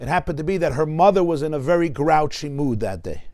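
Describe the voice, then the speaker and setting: A man speaks in a New York accent. His pace is fairly quick. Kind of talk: everyday storytelling.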